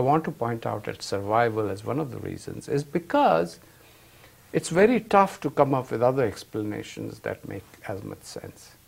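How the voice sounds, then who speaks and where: Vocal fry runs through a man's speech as his pitch swings very widely. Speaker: finance professor. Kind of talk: lecture. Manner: slow.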